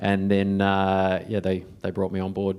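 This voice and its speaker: This man talks at a moderate pace with a New Zealand accent and a fairly low pitch. The recording is very clean, with a silent background. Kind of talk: fireside chat interview. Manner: many fillers and repetitions.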